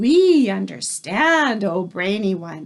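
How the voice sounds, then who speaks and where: A woman with a medium-pitched voice performs in a put-on character voice. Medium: read story. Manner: excited, fawning.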